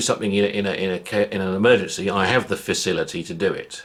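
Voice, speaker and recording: This man has a British accent. He talks fairly quickly. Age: 60s. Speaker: vlogger. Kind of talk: casual monologue. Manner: halting, many repetitions.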